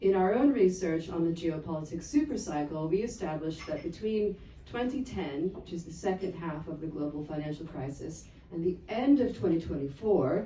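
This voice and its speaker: Against noticeable background noise and audible room echo, a woman with an American accent speaks at a moderate pace and fairly low pitch, her intonation lively and her loudness swinging widely. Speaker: geopolitical analyst. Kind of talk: conference talk.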